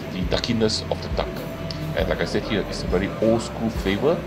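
A man's voice comes through with clear music playing behind it. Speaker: food vlogger. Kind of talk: food review commentary. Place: market.

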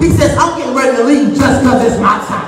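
A man's extremely high-pitched voice at a very fast pace, with noticeable background noise and audible room echo. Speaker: preacher. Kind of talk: funeral sermon, preaching to a congregation. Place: church. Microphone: camera far.

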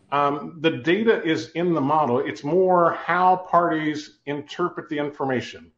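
A fairly slow pace with audible room echo. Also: man. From Ohio. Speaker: company CEO, telecom cost modeling expert; guest. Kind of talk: webinar interview. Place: office. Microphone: video call.

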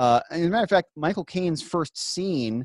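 Against a quiet background, a man talks at a fairly quick pace with lively intonation in a dry sound with no echo. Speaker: podcast co-host. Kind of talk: casual podcast discussion. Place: home room. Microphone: studio mic.

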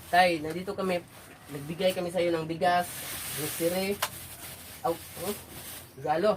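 The speech moves at a moderate pace with long, frequent pauses. Noticeable background noise runs throughout. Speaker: charity vlogger visiting the elderly. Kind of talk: casual vlog narration and conversation.

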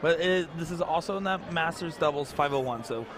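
The speaker has an animated tone and ordinary pitch variation, with noticeable background noise behind the voice. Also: man. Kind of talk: sports commentary. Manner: animated, excitable play-by-play delivery.

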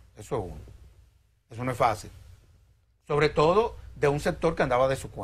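Loudness swings widely as a man talks at a fairly quick pace. He leaves long, frequent pauses. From Dominican Republic. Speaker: lawyer and civil society executive; interview guest. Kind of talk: TV interview. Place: studio. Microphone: lapel.

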